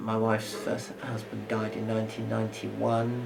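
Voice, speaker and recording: A man at medium pitch and a moderate pace, with noticeable background noise. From London. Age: 70s. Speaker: retired primary school teacher. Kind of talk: oral history interview answer.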